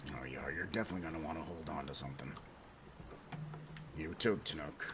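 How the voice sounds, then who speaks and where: A man's put-on character voice, very deep and low, rushing at a very fast pace over loud background noise. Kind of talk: comic pirate speech. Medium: game stream. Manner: blustering, punctuated with "yar".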